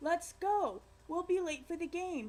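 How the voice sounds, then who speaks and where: In a put-on character voice with an extremely high pitch, a woman speaks at a fairly slow pace. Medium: read story.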